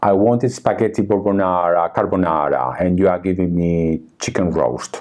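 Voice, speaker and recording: A man with a non-native accent talks at a moderate pace in a very deep, low pitch. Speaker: tarot reader and artist. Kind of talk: casual interview conversation. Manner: halting, with fillers and restarts.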